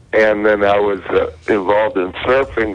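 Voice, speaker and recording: Noticeable background noise runs under the recording. A man speaks with an American accent. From Southern California. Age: 60s. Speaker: caller. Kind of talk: casual chat.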